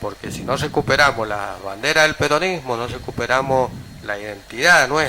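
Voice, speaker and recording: A man speaks at a moderate pace in a medium pitch, with ordinary pitch variation and noticeable background noise. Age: 60s. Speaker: local politician. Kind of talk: radio interview.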